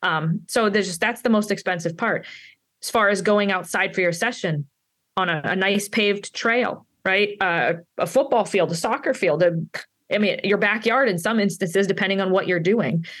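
With ordinary pitch variation, a woman talks at a moderate pace in an ordinary speaking voice. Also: medium pitch for a woman. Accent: American. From Pittsburgh, Pennsylvania, US. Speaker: dog trainer and author. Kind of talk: interview.

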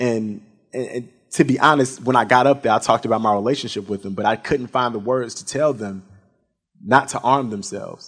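A man with an American accent talks fairly quickly at a medium pitch in an unremarkable speaking voice, his loudness swinging a lot. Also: ordinary pitch variation. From US, Chicago. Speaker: podcast host and moderator. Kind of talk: panel moderation. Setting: stage with audience.

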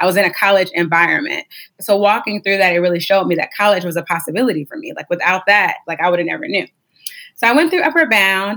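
Very fast delivery with lively intonation, a bright, sharp tone and an American accent. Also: woman, medium pitch for a woman. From Ohio, US (Warren). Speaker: nonprofit director. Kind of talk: interview.

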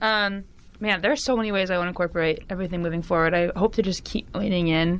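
In a Californian accent, a woman talks very fast at a medium pitch with fairly even intonation, and the background is quiet. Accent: Californian American English. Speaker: university student. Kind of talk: casual interview. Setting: studio.

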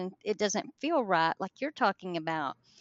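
A woman speaks with a rural Southern US accent and lively intonation. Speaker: paranormal investigator. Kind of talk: casual storytelling interview.

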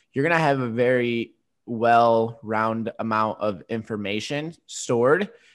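On a very clean recording with a silent background, a man at medium pitch uses an ordinary speaking voice with ordinary pitch variation. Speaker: fitness podcast host. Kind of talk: casual chat.

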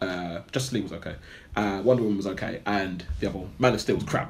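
Speaking at a fast pace, a man uses a low pitch with ordinary pitch variation.

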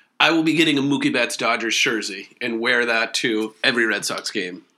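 A man's bright, sharp voice at a medium pitch and fairly quick pace, with ordinary pitch variation. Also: big swings in loudness. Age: 40s. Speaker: podcast guest, friend of host. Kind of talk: casual chat. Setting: his living room.

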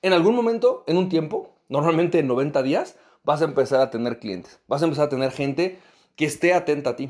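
Using an ordinary speaking voice, a man talks at a moderate pace with lively intonation and a fairly high pitch. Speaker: podcast host and business coach. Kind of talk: motivational podcast monologue.

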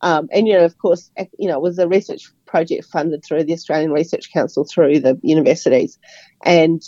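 A woman speaks with a New Zealand accent. Her pitch sits fairly low. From New Zealand, Auckland. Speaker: architectural editor and writer. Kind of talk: radio interview. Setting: radio studio.

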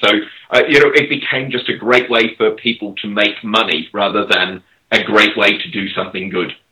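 Someone with an Australian accent speaks at a moderate pace with ordinary pitch variation. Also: man, medium pitch for a man. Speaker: crypto startup executive. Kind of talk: casual chat.

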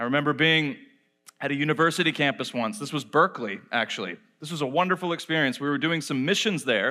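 A man with an American accent speaks at a fairly high pitch in a bright, sharp tone, recorded very cleanly with a silent background. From Austria, later Georgia US. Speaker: guest preacher and apologist. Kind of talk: sermon. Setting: church stage with audience.

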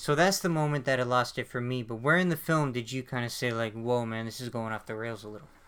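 In a very clean recording with a silent background, a man of medium pitch speaks very fast with hardly any pauses and ordinary pitch variation. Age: 20s. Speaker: film podcast host. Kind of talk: casual chat.

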